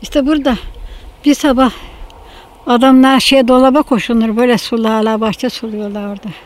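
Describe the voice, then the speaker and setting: At a moderate pace, a woman with a fairly high pitch speaks over noticeable background noise. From Bozcaada, Turkey. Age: 90s. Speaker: elderly islander sharing memories. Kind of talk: oral history interview. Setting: outdoors in a vineyard garden near the sea.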